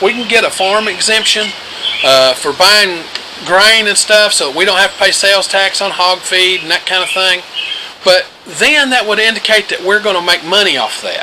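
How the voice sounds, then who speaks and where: With an Appalachian accent, a man projects a raised, high-pitched voice at a moderate pace and ordinary pitch variation, over noticeable background noise. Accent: Appalachian US Southern. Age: 60s. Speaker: homesteader. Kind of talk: casual advice talk to camera.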